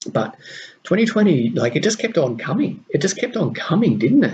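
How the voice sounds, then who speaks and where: Pitch swinging very widely, a man talks with vocal fry. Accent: Australian. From Australia. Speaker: podcast host and mentor to diplomats. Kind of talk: solo podcast monologue.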